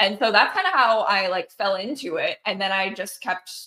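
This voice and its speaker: Very wide pitch swings carry a woman's voice, which sits fairly high. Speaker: marketing business owner. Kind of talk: casual interview chat. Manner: casual, candid, swears freely.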